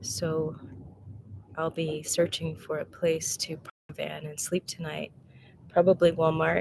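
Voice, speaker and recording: The speaker has vocal fry and fairly even intonation, talking at a fairly slow pace with big swings in loudness and long, frequent pauses. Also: woman, very deep, low pitch for a woman. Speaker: Buddhist nun. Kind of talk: casual talk to viewers.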